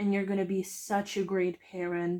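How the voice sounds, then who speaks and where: This is a woman speaking at a medium pitch. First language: not English. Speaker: tarot reader. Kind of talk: pick-a-card tarot reading.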